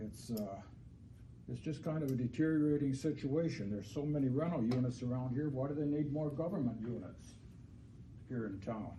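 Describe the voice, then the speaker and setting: At a fairly quick pace, a man speaks at a medium pitch with ordinary variation, his somewhat breathy voice dark and mellow in tone, with audible room echo. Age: 70s. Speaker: landlord speaking at public hearing. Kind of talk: public comment. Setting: city council meeting. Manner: halting.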